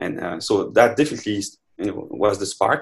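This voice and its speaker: A man speaks in a French accent with a fairly low pitch. His pace is fairly quick. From France. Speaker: neuroscientist, professor. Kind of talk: interview. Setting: online remote recording. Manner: halting, many fillers.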